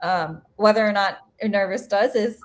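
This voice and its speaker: A woman speaks at a fairly high pitch. Her voice is somewhat breathy, and her pace is moderate. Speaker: planetary scientist. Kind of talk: seminar Q&A. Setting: video call.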